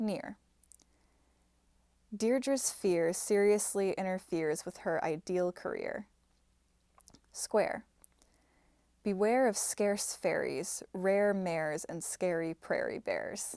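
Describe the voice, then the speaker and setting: A woman's medium-pitched voice at a very slow pace, with ordinary pitch variation and long, frequent pauses. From Minnesota, Midwestern US. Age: 20s. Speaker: software engineer and actor. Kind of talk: reading of word and sentence list.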